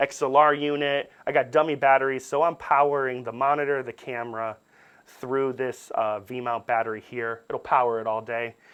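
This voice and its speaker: Speaking at a moderate pace, a man with a normal speaking voice keeps a medium pitch and fairly even intonation. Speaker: camera workshop instructor. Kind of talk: tutorial.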